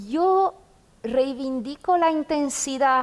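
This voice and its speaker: A woman speaks with a Romanian accent. Her pace is very slow. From Romania, Bucharest. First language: Romanian (speaking Spanish). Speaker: poet and literature professor. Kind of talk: literary conversation before an audience.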